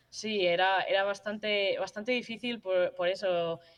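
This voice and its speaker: The delivery is flat and monotone. It moves at a moderate pace. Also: woman. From Madrid, Spain. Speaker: university football player. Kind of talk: interview. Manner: halting.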